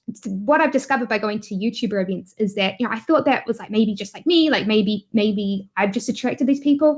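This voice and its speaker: A woman with a New Zealand accent speaks at a fairly high pitch with lively intonation. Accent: New Zealand accent, noticeable. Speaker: YouTuber and online business entrepreneur. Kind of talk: interview conversation. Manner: hesitant, many fillers.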